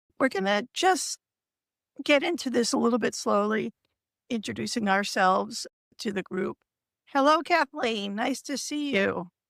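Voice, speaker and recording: Recorded dry and close with no echo, a woman speaks in a fairly high voice with lively intonation and vocal fry, leaving long, frequent pauses. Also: moderate pace. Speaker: writer and livestream co-host. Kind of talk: casual livestream chat. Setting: online livestream.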